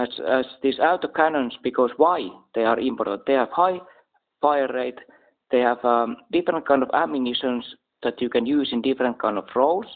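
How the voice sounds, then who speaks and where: In a Finnish accent, a man talks at a medium pitch. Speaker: military commentator. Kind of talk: casual talk to camera. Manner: halting.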